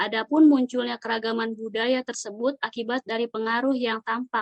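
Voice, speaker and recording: Speaking at a fairly quick pace, a woman uses a fairly high pitch with monotone, flat intonation. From Jakarta (Betawi). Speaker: civil servant trainee. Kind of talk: scripted podcast discussion.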